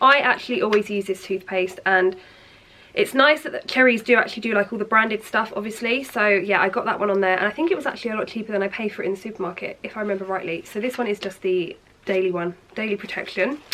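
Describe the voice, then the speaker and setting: Over noticeable background noise, a woman with an English accent and medium pitch speaks at a very fast pace. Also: ordinary pitch variation. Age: 20s. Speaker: lifestyle vlogger. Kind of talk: product haul video. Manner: chatty, animated.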